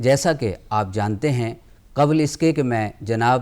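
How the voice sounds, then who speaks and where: An ordinary speaking voice shows ordinary pitch variation here. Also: man. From Punjab, India (Amritsar). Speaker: TV talk show host. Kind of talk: literary TV interview. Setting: studio. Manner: formal.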